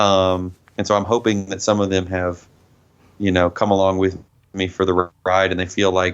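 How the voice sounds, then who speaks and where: Against a quiet background, the voice comes in a slight Southern US accent. Delivery is monotone and flat at a moderate pace. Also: man, very deep, low pitch for a man. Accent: mild Southern US. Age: 30s. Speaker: metal band vocalist. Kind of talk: interview.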